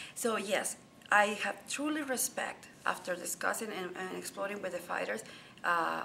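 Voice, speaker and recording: Noticeable background noise runs under the recording. A woman with a Spanish accent speaks with lively intonation. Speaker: journalist and author. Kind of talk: interview. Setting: boxing convention.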